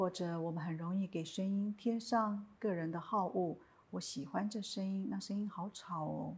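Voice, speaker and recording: A woman's somewhat breathy, medium-pitched voice with fairly even intonation, on a very clean recording with a silent background. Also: moderate pace. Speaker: meditation teacher. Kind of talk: guided meditation. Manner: plain natural tone, not especially soft.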